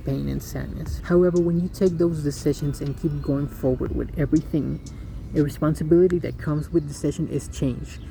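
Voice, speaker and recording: Male speech, fairly quick in pace, set against background music. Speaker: first-time video creator. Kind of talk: scripted monologue; casual chat. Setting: outdoors. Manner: fast. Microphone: poor audio, hard to hear.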